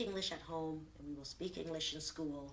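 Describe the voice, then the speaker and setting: There is audible room echo and noticeable background noise as a woman speaks at a fairly low pitch. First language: Vietnamese. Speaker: lawyer, refugee interviewee. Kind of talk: oral history interview.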